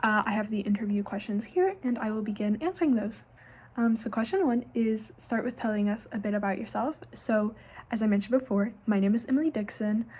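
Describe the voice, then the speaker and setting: A somewhat breathy woman's voice, fairly high in pitch and at a fairly quick pace. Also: ordinary pitch variation. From southern Ohio, Scioto County. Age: 20s. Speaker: university student, internship applicant. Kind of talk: self-recorded interview answers. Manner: casual with filler words.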